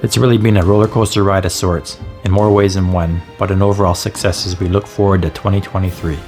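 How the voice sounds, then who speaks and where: Music plays in the background as a man with a Canadian accent speaks very fast with hardly any pauses, using a fairly low pitch and fairly even intonation. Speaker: overlanding vlogger. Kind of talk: year-in-review voiceover narration.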